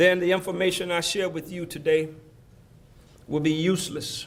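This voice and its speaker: Speaking in a flat monotone, a man with an Alabama accent and a high pitch is heard amid noticeable background noise and audible room echo. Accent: Southern US (Alabama). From US South, Selma, Alabama. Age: 60s. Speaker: former mayor, keynote speaker. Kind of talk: keynote speech. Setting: banquet hall with audience. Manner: preacherly, call-and-response.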